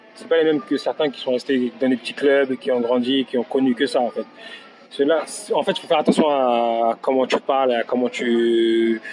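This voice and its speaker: With music in the background, a man talks at a moderate pace in a medium pitch with ordinary pitch variation. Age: 30s. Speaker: professional footballer. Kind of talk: interview. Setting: in person. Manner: halting.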